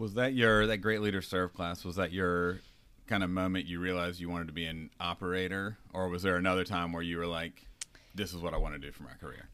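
With a North Carolina accent, the speaker talks at a very fast pace. The tone is bright and sharp, with fairly even intonation. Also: man, very deep, low pitch for a man. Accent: Southern US (North Carolina). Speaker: podcast co-host, restaurant owner-operator. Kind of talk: casual chat.

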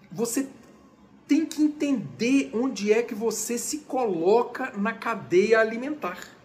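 Audible room echo surrounds a man with an extremely high pitch. His intonation is lively. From Brazil. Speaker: conductor and music lecturer. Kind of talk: lecture. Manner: casual, chatty.

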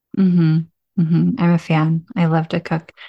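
A woman with an unremarkable speaking voice, fairly low in pitch, at a moderate pace against a quiet background. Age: 40s. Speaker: podcast host and meditation guide. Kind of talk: casual chat.

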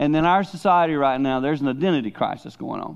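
A man speaks with a Southern US accent. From the Carolinas. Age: 60s. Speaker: pastor. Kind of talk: sermon. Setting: church.

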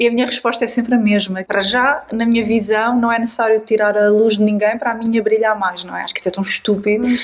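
Against noticeable background noise, a woman with a fairly high voice speaks at a very fast pace in a monotone, flat intonation. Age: 40s. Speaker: podcast host and writer. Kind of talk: casual chat.

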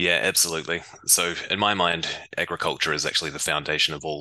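In a New Zealand accent, a man with a very deep, low pitch and a bright, sharp tone talks at a very fast pace with fairly even intonation. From New Zealand, Waikato. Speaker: biotech startup founder and scientist. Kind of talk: interview.

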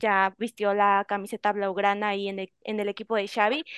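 A woman's voice, dry and close with no echo, against a quiet background. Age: young. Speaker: radio sports panelist. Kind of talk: sports talk radio.

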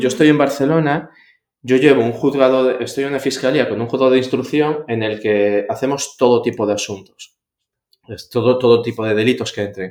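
At a fairly quick clip, a man talks in a normal speaking voice, medium in pitch, his intonation fairly even. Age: 30s. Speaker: public prosecutor. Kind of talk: interview.

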